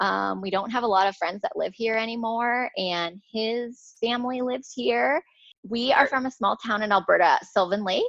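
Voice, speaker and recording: An ordinary speaking voice from a woman, fairly high in pitch, with ordinary pitch variation and a moderate pace. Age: 30s. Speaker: hockey player's wife, online group creator. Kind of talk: casual chat.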